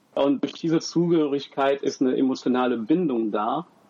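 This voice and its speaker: An ordinary speaking voice from a man, fairly high in pitch, at a moderate pace. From Germany. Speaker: university student and father. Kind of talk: podcast interview.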